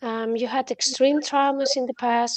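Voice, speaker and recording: A woman with a non-native accent and flat, monotone intonation, in a dry, close sound with no echo. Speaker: trader. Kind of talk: casual chat. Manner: halting.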